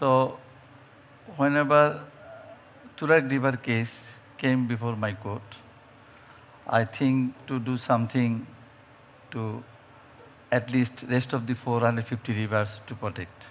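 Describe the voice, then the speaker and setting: A man with a Bengali accent speaks fairly slowly at medium pitch, with fairly even intonation and long, frequent pauses. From Bangladesh. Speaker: judge. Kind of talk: panel discussion. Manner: halting.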